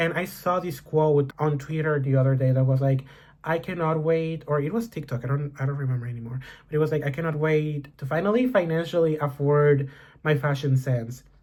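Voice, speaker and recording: A man talks at a fairly quick pace in a somewhat breathy voice, fairly high-pitched, with ordinary pitch variation. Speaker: YouTuber. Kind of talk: casual vlog monologue. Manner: rambling, casual.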